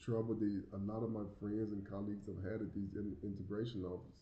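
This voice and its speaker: With an American accent, a man speaks fairly quickly in a fairly low, somewhat breathy voice, with audible room echo. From US South, small community. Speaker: YouTuber living abroad. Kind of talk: casual Q&A monologue. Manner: halting, with repeated words.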